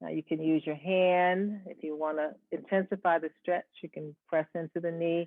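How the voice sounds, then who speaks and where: A woman with a fairly low pitch and a calm tone, monotone and flat in intonation, with hardly any pauses. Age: 70s. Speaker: yoga instructor. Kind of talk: guided yoga instruction. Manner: slow, calm.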